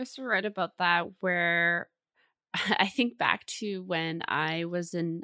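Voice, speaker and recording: A woman with a Canadian accent speaks at a fairly slow pace in a fairly low pitch with ordinary pitch variation and a bright, sharp tone. The very clean recording has a silent background and a dry, close sound with no echo. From Vancouver, Canada. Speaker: mental health podcast host, therapist. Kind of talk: podcast interview.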